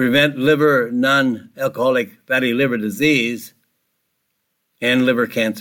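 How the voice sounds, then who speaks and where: A man with a medium pitch and a bright, sharp tone speaks at a fairly slow pace, his intonation fairly even and broken by long, frequent pauses. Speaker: radio health show host and nutrition author. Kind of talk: radio health talk. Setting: radio studio.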